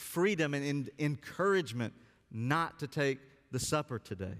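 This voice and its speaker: An ordinary speaking voice at a moderate pace, with lively intonation. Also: man. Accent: American. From US South, Alabama. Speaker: pastor. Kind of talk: sermon. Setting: church.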